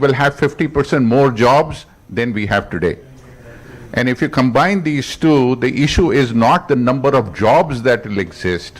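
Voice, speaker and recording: This is a man with an ordinary speaking voice at medium pitch. He talks at a moderate pace with lively intonation. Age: 60s. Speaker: IT industry leader, panelist. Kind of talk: panel discussion.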